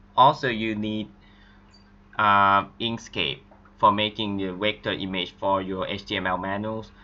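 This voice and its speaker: A man's fairly low voice with a non-native accent, fairly even intonation, and a fairly slow pace. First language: not English. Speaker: game modding tutorial maker. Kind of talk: screen-recorded tutorial.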